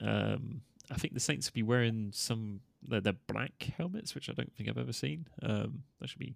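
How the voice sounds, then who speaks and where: A man with a British accent. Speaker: podcast host. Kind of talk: casual chat.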